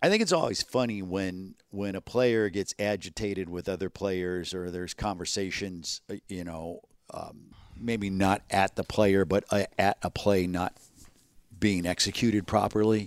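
A man's plain, everyday voice at fairly low pitch and moderate pace, with fairly even intonation, a dry, close sound with no echo, and a very clean recording with a silent background. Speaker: podcast host, football commentator. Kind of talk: casual chat about football. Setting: studio, nearly empty building.

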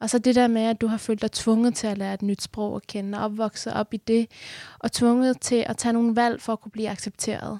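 The voice has a dark, mellow tone and monotone, flat intonation at a moderate pace. The recording is very clean, with a silent background and a dry, close sound with no echo. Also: woman. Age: 20s. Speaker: activist and new radio host. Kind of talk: radio interview. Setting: studio.

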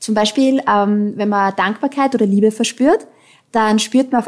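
A woman speaks in a fairly high voice with ordinary pitch variation. Her pace is moderate. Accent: Austrian. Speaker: founder of an online counselling platform. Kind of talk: interview.

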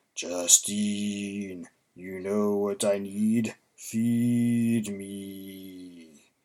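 In a put-on character voice, a low-pitched speaker drawls at a very slow pace with monotone, flat intonation. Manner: menacing, hungry.

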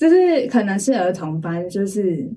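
Dark, mellow tone from a woman with a Taiwanese accent, medium pitch and a very slow pace. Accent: Taiwanese Mandarin. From Taiwan, Taipei. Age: 20s. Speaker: church member giving testimony. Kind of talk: testimony interview.

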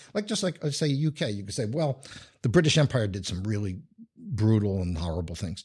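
A man with fairly low pitch, very wide pitch swings, a somewhat breathy voice and a fairly quick pace, on a very clean recording with a silent background. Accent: New York. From New York. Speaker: urban studies scholar and writer. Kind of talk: casual interview. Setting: office studio. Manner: halting with many restarts.

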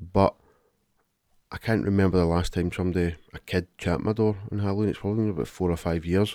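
Talking at a very fast pace in a very clean recording with a silent background, a man with a Glaswegian accent has a very deep, low pitch, a dark, mellow tone and fairly even intonation. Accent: Glaswegian Scottish. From Glasgow. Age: 30s. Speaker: podcast co-host. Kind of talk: casual chat.

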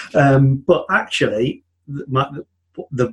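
A man with a medium pitch sounds somewhat breathy. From UK. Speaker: software developer turned business consultant. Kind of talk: interview, casual chat.

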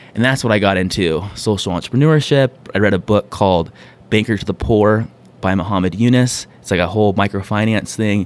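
A man's plain, everyday voice, fairly low in pitch with ordinary variation, fairly quick in pace and very even in loudness. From US West Coast (San Diego). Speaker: author, coach and entrepreneur. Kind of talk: interview conversation.

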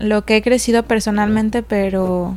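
Here a woman is speaking. Her intonation stays fairly even. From Mexico, Puerto Vallarta (Jalisco coast). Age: young. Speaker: restaurant owner. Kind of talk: casual interview chat.

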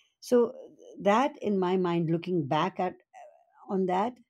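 A woman's voice has a dark, mellow tone and ordinary pitch variation. The background is quiet. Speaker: broadcaster. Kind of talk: interview. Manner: halting, filler words.

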